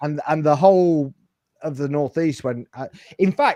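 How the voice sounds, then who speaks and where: In a northern English accent, a man with a dark, mellow tone and fairly high pitch speaks at a moderate pace with ordinary pitch variation, the sound dry and close with no echo. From northern England. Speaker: football podcast host. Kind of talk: casual chat. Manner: halting.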